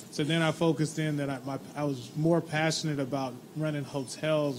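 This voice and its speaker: Somewhat breathy and fairly high-pitched, a man with an American accent speaks at a moderate pace over light background noise. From Texas. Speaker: casino hospitality manager. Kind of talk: panel discussion. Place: hall.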